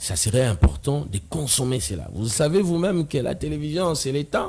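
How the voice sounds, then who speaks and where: Very wide pitch swings come at a moderate pace against noticeable background noise. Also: man, fairly high pitch for a man. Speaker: debater on religion. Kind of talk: TV talk show debate.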